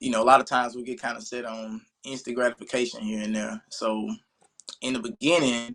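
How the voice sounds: A man talks at a fairly quick pace with a medium pitch and a fairly bright tone. His intonation stays fairly even.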